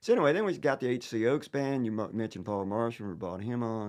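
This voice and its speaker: A man with a Southern accent speaks at a fairly quick pace, his fairly low pitch showing ordinary variation against a quiet background. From Virginia (Danville). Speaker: singer-songwriter. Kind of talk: casual chat.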